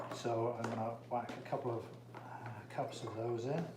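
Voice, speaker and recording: Recorded with audible room echo and noticeable background noise, a man with an English accent speaks at a medium pitch and a fairly slow pace. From England. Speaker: chiropractor. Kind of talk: casual cooking livestream. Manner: casual, many fillers.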